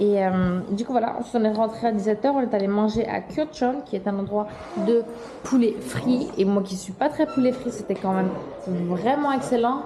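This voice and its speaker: This woman's voice sits fairly high, with ordinary pitch variation. Noticeable background noise runs underneath. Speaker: travel vlogger. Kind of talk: casual vlog talk to camera. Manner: fast.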